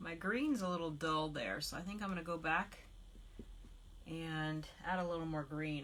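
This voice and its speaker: With audible room echo, a woman speaks at a fairly low pitch with ordinary pitch variation. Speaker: craft demonstrator and independent product designer. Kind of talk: live-stream craft tutorial. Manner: quiet; relaxed, with frequent fillers.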